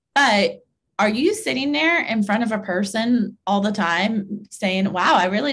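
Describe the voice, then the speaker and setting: Her intonation lively, a woman of medium pitch speaks with an American accent. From US Midwest. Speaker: realtor and real estate trainer; real estate trainer. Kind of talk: webinar tutorial. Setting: video call webinar. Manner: enthusiastic, upbeat; casual, uses many fillers. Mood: encouraging. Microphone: webcam.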